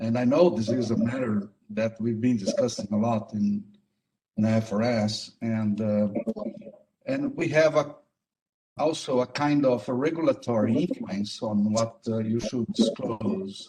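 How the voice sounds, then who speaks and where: At a fairly slow pace, a man uses a dark, mellow tone at a medium pitch with ordinary pitch variation. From Brazil. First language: Portuguese. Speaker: accounting standards board member. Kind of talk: online consultation meeting. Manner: hesitant, many fillers.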